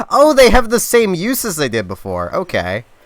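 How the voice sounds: Natural voice, reading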